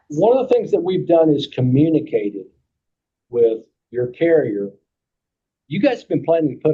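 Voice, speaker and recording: A man in a Kentucky accent, fairly high in pitch with very wide pitch swings, big swings in loudness, moderate pace and long, frequent pauses. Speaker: insurance agent. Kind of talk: committee meeting discussion.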